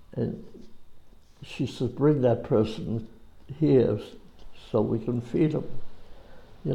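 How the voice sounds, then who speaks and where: There's vocal fry in this man's medium-pitched voice. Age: 90s. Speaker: war veteran. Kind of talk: oral history interview. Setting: school. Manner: halting.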